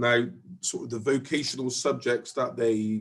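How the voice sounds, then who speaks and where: In a Bristol accent, a man speaks at a moderate pace. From Bristol, England. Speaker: college department head. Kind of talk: interview.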